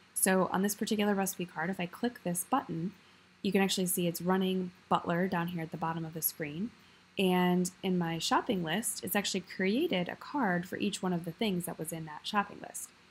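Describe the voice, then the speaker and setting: A woman with an American accent, fairly quick and somewhat breathy, at a medium pitch with fairly even intonation. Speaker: video tutorial creator. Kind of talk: tutorial. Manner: casual, with frequent filler words.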